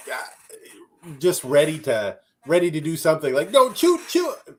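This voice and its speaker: A man with a Minnesotan accent speaks with ordinary pitch variation. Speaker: soccer podcast co-host. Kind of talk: casual sports recap chat. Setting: live stream.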